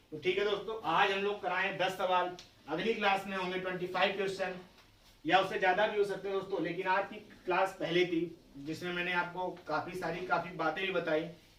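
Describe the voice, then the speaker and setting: A man with a high pitch talks at a fairly slow pace in a monotone, flat intonation. The room echo is audible. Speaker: math teacher. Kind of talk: lecture.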